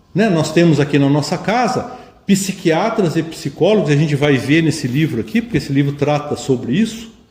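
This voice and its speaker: A man talks at a moderate pace with a fairly high pitch. Audible room echo surrounds his voice. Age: 60s. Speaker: spiritist lecturer. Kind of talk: lecture.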